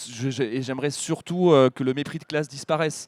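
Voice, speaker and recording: The man's fairly high voice shows ordinary pitch variation, recorded dry and close with no echo. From northern France, Pas-de-Calais countryside. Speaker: politician, member of parliament. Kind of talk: public talk interview. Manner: animated.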